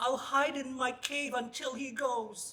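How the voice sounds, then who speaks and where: This put-on character voice is pitched high and delivered at a fairly slow pace with monotone, flat intonation. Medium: read story. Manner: drawling, unhurried.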